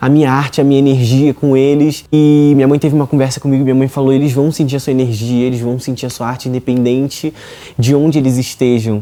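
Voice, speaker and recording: In a Carioca accent, a man speaks at a very fast pace and medium pitch, his intonation monotone and flat. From Rio de Janeiro, Brazil. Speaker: reality show contestant, singer. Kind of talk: interview, personal story.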